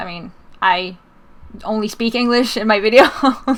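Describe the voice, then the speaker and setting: Speaking with a Swedish accent, a woman uses a fairly high pitch and ordinary pitch variation. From Sweden. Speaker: YouTuber, gaming video maker. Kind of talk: casual interview chat.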